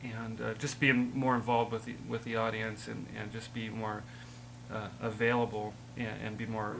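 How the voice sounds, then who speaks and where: A man speaks at a medium pitch and a moderate pace, with vocal fry and monotone, flat intonation. Audible room echo surrounds his voice. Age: 30s. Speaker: rock band member. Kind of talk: interview. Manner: halting.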